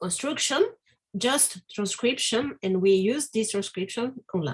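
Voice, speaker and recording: Somewhat breathy, a woman with a non-native accent speaks at a fairly slow pace. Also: lively intonation. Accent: non-native English speaker. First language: Spanish. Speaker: academic presenter. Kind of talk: academic Q&A. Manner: halting, many fillers.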